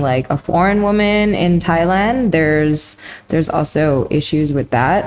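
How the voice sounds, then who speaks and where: A woman with a Canadian accent speaks in a fairly low pitch with ordinary pitch variation, over noticeable background noise. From Canada. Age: 30s. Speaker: professional Muay Thai fighter. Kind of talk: interview. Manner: halting.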